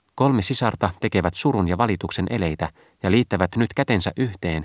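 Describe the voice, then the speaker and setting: The tone is dramatic, delivered at a moderate pace with ordinary pitch variation. The sound is dry and close with no echo, in a very clean recording with a silent background. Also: man. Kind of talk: audiobook reading, literary narration. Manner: dramatic, urgent, building in intensity on the trumpet cries; formal, measured, archaic-literary delivery.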